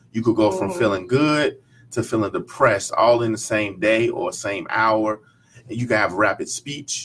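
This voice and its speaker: Moderately paced, a man has an ordinary speaking voice at a medium pitch, with ordinary pitch variation. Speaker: author and speaker on bipolar disorder. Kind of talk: radio interview answer.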